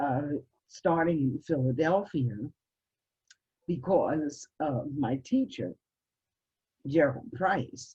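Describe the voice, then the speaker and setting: A woman's very deep, low, somewhat breathy voice with a dark, mellow tone and lively intonation, at a very slow pace with long, frequent pauses. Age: 70s. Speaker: musician and college professor. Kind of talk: interview.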